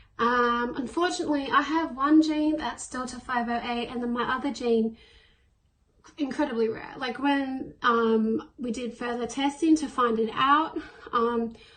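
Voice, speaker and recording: In an Australian accent, a woman speaks with a high pitch and fairly even intonation. Her pace is fairly slow. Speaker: person with cystic fibrosis. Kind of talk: interview answer. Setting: self-recorded on own device.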